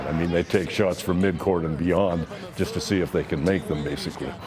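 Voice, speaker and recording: A fairly quick delivery against noticeable background noise. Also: man. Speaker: public address announcer. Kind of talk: interview answer.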